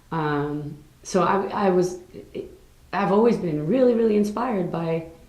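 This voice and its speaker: Audible room echo surrounds a woman's voice. She speaks at a fairly low pitch with ordinary pitch variation. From New York City. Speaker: singer. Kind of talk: interview.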